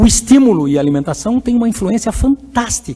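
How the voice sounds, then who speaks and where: A man speaks at a fairly quick pace in a high voice, his pitch swinging very widely. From Curitiba, southern Brazil. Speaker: psychologist and educator giving a conference talk. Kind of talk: lecture. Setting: conference hall with audience. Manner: halting, with repetitions.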